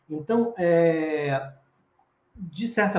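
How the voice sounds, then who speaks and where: Audible room echo hangs around this man as his pitch varies in an ordinary way. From Brazil, Espírito Santo. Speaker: professor and children's author, storyteller; professor, storyteller. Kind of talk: lecture-style interview. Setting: online live stream. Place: home room. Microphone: video call.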